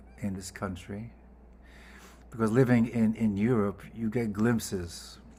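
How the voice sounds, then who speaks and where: In a Scottish accent, a man speaks at a moderate pace with a fairly low pitch and a dark, mellow tone. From Scotland. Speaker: composer. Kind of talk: speech at a gala. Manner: halting.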